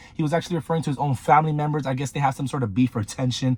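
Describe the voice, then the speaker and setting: A man's fairly high, somewhat breathy voice at a very fast pace. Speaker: commentary YouTuber. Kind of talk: casual commentary. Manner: casual, filler-heavy.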